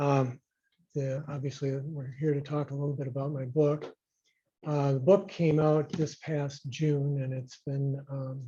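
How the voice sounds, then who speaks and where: Speaking with an American accent, a man with a fairly high pitch and a dark, mellow tone sounds somewhat breathy, delivering his words at a fairly slow pace in a monotone, flat intonation. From Rochester, Minnesota. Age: 60s. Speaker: retired physician and local historian. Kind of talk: public talk. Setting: talk with live audience. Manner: hesitant, many fillers.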